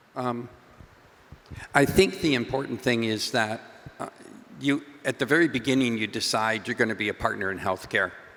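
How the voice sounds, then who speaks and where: Against noticeable background noise, a man speaks at a medium pitch and a moderate pace. His loudness swings widely, his pitch varies in an ordinary way, and he pauses often and at length. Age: 70s. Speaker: startup founder. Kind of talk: panel discussion.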